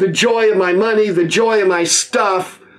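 The speaker is a man with a high-pitched voice. His intonation stays fairly even. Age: 80s+. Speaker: pastor. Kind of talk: sermon. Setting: video recording. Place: office. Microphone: phone near.

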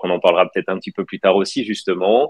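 Against a quiet background, a man's voice comes through dry with no echo. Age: 30s. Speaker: wealth management consultant; interview guest. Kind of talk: live interview. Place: home room. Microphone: video call.

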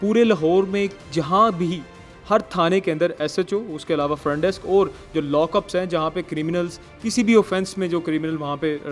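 Fairly slow speech over faint background music. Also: man, high pitch for a man, ordinary pitch variation. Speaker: TV reporter. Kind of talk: walkthrough report. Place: office. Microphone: handheld.

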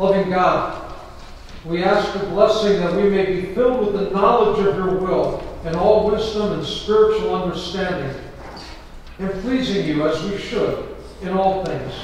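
The speech moves at a fairly slow pace. Strong room echo and light background noise are present. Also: man. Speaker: pastor. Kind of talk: sermon. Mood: reverent and calm. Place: church.

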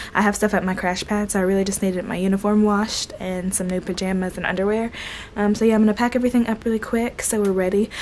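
Over light background noise, a woman races along at a very fast pace in a monotone, flat intonation. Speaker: flight attendant vlogger. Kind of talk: casual vlog chat. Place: home room. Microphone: phone near.

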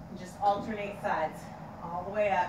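A woman speaks with audible room echo around her. Background noise is noticeable. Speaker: fitness instructor. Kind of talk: tutorial. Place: garage. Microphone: camera far.

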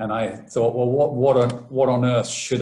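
Monotone and flat, a man speaks at a moderate pace. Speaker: professor giving seminar. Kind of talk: lecture. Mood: relaxed, lightly humorous. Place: home room. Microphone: webcam.

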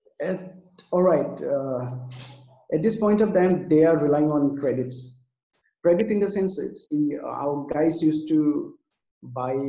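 Audible room echo surrounds a man speaking at a fairly slow pace in a dark, mellow tone with ordinary pitch variation. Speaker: remote guest. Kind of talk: interview answer. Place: home room. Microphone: video call.

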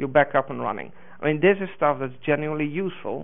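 The man's pace is fairly quick. Pitch variation in his speech is ordinary. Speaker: conference presenter. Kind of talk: lecture. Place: hall.

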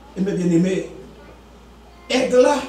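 Amid light background noise and audible room echo, a man talks in an animated tone. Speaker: preacher. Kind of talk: sermon. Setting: church. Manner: animated, exhortative, call-and-response with congregation. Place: church. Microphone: camera far.

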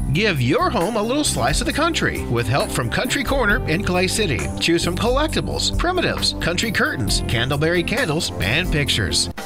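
Over clear background music, a man talks at a fairly quick pace with hardly any pauses. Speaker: radio announcer and voice-over artist. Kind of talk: local radio commercial read. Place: studio. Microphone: studio mic.

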